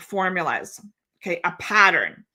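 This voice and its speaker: A woman talks in a Canadian accent at a fairly slow pace. Her tone is bright and sharp. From Ontario, Canada. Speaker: genealogy educator. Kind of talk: webinar lecture. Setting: live streamed webinar.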